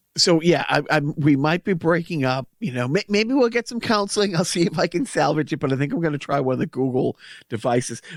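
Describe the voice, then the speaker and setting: With a Boston accent, a man talks at a fairly quick pace in a fairly high pitch, his intonation lively, on a very clean recording with a silent background. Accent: Boston-area accent, self-described. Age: middle-aged. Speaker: podcast co-host. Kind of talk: casual chat.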